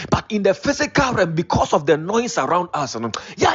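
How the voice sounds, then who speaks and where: A man speaks at a moderate pace in a high pitch with lively intonation, with noticeable background noise throughout. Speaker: preacher. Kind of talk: sermon. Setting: online prayer meeting.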